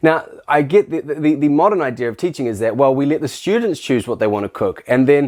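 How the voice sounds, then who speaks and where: The speech moves at a very fast pace with lively intonation. The speaker has a New Zealand accent. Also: man. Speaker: teacher. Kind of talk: casual talk to camera. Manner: animated, halting with restarts.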